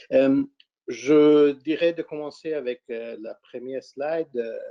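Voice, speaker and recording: The speaker is a man. He has a non-native accent. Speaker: fund manager. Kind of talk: webinar presentation. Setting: webinar. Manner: halting, frequent repetitions.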